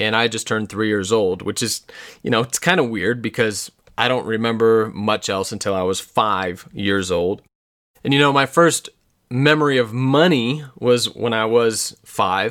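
With an American accent and a plain, everyday voice, a man talks at a moderate pace, his medium pitch showing ordinary pitch variation. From Colorado, US. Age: 30s. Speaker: podcast host. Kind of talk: personal storytelling monologue.

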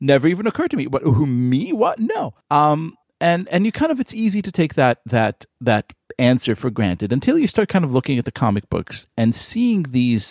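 This man's fairly high voice swings very widely in pitch, recorded with a dry, close sound and no echo. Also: very clean recording, silent background. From Israel. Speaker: writer and podcast co-host. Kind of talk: casual chat.

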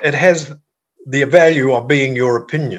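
Somewhat breathy, a man with a fairly high pitch speaks at a moderate pace in a New Zealand accent. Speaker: former politician and policy advisor. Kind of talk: interview.

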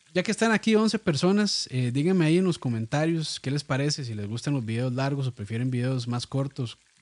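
Speaking at a moderate pace with a Costa Rican accent, a man uses a fairly high pitch and very wide pitch swings in a dry, close sound with no echo. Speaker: podcast host and cooking video creator. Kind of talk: casual chat.

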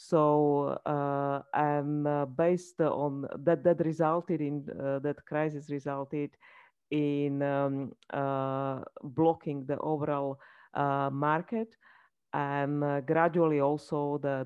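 A woman's very deep, low voice, monotone and flat, at a very slow pace. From Slovakia. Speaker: banking regulator. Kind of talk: interview. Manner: halting.

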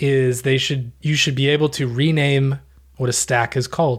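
The voice is somewhat breathy, with an American accent. It moves at a moderate pace with ordinary pitch variation. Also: man, very clean recording, silent background. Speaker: podcast co-host. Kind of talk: casual chat.

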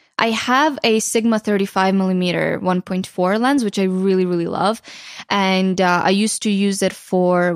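Speaking with a Ukrainian accent, a woman keeps a fairly slow pace and fairly even intonation on a very clean recording with a silent background and a dry, close sound with no echo. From western Ukraine. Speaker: photographer and YouTuber. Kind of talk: casual interview. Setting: studio.

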